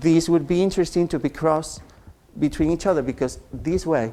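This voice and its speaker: With a Spanish accent, a man speaks in a dark, mellow tone at a fairly high pitch with ordinary pitch variation. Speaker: genetics researcher. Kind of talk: lecture. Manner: halting.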